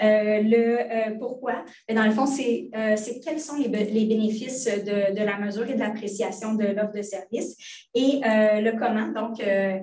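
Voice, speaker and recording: A woman's fairly high voice at a fairly slow pace, with audible room echo. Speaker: hospital librarian, department head. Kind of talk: online training presentation. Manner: hesitant, many fillers.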